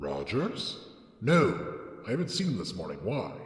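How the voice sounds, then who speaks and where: Heard with a clear echo, a man puts on a character voice at medium pitch. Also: moderate pace. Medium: read story. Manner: prim, formal.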